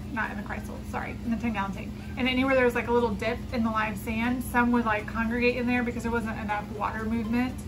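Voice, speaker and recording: With clear music behind her, a woman's speech moves at a fairly quick pace. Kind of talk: casual vlog chat. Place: home room. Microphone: phone near.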